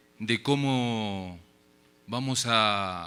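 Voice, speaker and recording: A man's bright, sharp voice with a Uruguayan accent, on a very clean recording against a silent background. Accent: Uruguayan Spanish, noticeable abroad. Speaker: academic speaker at a forum. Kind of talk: conference lecture. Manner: casual filler words (eh, este).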